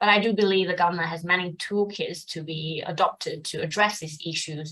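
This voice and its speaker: A woman talks at a fairly quick pace with a Mandarin accent. Her tone is bright and sharp, and her intonation stays fairly even. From China. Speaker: fund manager. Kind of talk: interview. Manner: hesitant with fillers.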